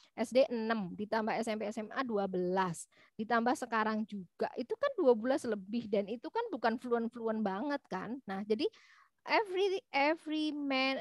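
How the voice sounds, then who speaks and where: A woman's fairly high voice with a Javanese accent, dry and close with no echo, on a very clean recording over a silent background. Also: moderate pace. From East Java, Malang. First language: Javanese (speaking Indonesian). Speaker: university lecturer. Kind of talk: lecture. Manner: halting, many fillers.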